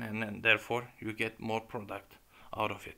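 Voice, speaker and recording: A man's medium-pitched voice with a bright, sharp tone and monotone, flat intonation. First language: Turkish. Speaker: YouTuber presenting academic work. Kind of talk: lecture. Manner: halting.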